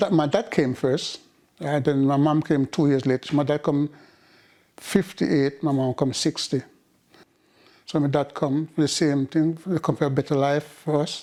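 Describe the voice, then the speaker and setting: In a Jamaican accent, a man with a dark, mellow tone and a fairly high pitch speaks at a moderate pace with fairly even intonation and long, frequent pauses, on a very clean recording with a silent background. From rural Jamaica. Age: 70s. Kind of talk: oral history interview answer.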